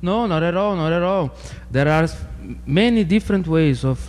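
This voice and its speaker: A man speaks at a moderate pace in a Portuguese accent. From Brazil. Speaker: sociology PhD researcher. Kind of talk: interview.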